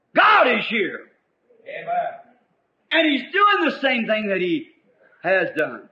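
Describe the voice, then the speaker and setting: A man's raised, projected voice in an American accent, extremely high in pitch, with very wide pitch swings, a fairly slow pace and long, frequent pauses. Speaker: preacher. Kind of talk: sermon preaching to congregation.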